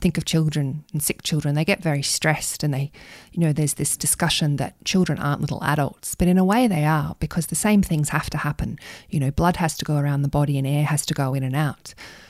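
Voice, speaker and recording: A woman speaks very fast in an Australian accent, her pitch very deep and low with ordinary variation. The recording is very clean, with a silent background. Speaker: pediatric intensive care doctor. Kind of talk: podcast interview.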